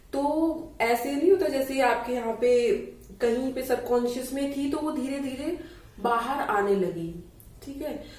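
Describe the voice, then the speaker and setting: Amid noticeable background noise and audible room echo, a high-pitched woman talks very slowly with ordinary pitch variation. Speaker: yoga teacher. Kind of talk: tutorial. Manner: casual conversational.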